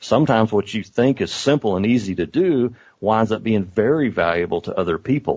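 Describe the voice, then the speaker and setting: Speaking in an American accent, a man's intonation is lively. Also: medium pitch for a man, fairly quick pace. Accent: southern US redneck accent, per students. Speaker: online course creator. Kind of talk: interview conversation.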